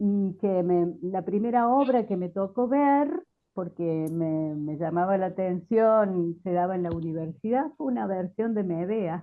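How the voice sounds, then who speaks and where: Speaking with hardly any pauses, a woman uses lively intonation. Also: medium pitch for a woman, fairly slow pace. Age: 60s. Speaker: theatre researcher and language teacher. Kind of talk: panel discussion. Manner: hesitant, many fillers.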